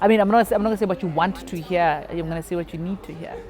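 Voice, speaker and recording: Over noticeable background noise, a woman with a fairly low pitch speaks at a very fast pace with fairly even intonation. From South Africa, Free State and North West. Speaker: stand-up comedian, radio host. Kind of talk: interview answer.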